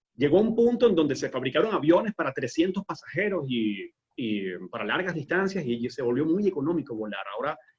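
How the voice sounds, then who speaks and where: The man's voice is fairly high and swings very widely in pitch. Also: fairly quick pace, hardly any pauses. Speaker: aviation entrepreneur. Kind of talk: webinar interview. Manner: fast.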